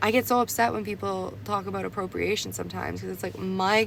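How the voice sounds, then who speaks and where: The speaker has a Canadian accent. The pace is moderate. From Canada. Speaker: tarot card reader. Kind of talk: tarot reading. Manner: casual, halting with fillers.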